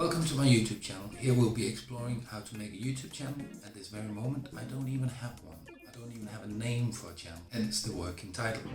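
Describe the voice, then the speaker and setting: A man speaks at a very fast pace with hardly any pauses, a medium pitch, ordinary pitch variation and big swings in loudness, with music in the background and audible room echo. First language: not English. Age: 40s. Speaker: beginner YouTuber. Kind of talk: casual vlog talk to camera.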